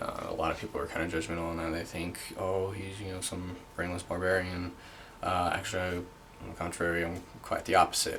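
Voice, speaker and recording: Against noticeable background noise, a man with a very deep, low pitch talks fairly quickly in a flat monotone. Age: 20s. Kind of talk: casual talk to camera. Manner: hesitant, halting.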